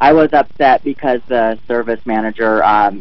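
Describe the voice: This man speaks at a moderate pace in a medium pitch with ordinary pitch variation.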